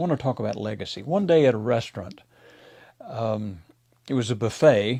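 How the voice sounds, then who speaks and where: A man speaks with an American accent. His voice is medium in pitch with ordinary pitch variation. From Mississippi, USA. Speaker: pastor. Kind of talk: devotional talk to camera.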